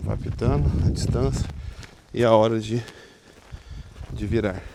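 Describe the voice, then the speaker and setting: Noticeable background noise sits under a man who talks fairly slowly, his intonation lively. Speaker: tech product reviewer. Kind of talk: casual talk to camera.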